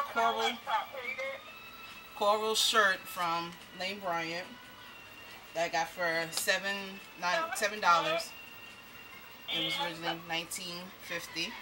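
A woman speaks at a moderate pace with long, frequent pauses over noticeable background noise. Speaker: haul vlogger. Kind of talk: casual vlog chat. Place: home room. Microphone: webcam.

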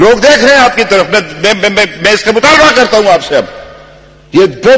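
A man speaking over light background noise. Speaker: politician. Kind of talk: political speech. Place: hall. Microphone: podium.

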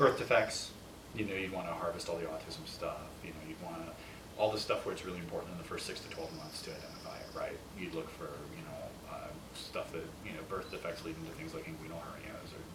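This man races through his words at a very fast pace while loud background noise plays behind him. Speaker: interview guest. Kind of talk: interview answer. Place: kitchen.

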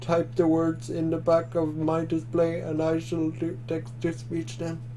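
Putting on a robotic character voice, a man talks at a fairly high pitch and a moderate pace over clear background noise.

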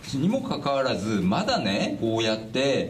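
A man's lively intonation over noticeable background noise. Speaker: lawyer. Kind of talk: interview answer. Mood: indignant, frustrated. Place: meeting room. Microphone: handheld.

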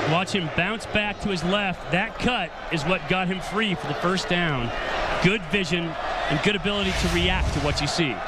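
Noticeable background noise sits behind speech delivered at a moderate pace with ordinary pitch variation. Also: man, high pitch for a man. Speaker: color commentator, former player. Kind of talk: live sports commentary, analysis between plays. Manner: conversational, analytical, emphatic.

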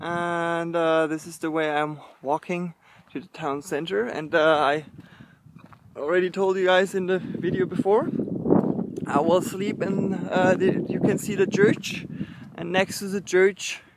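A man speaks with long, frequent pauses. Loud background noise runs underneath. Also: fairly slow pace, dry sound with no echo. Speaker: hiking vlogger. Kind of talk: casual vlog chat. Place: open country. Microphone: phone near.

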